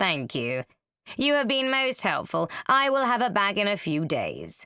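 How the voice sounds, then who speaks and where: On a very clean recording with a silent background, a woman of medium pitch puts on a character voice, swinging her pitch very widely at a moderate pace. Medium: read story. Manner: reserved, formal.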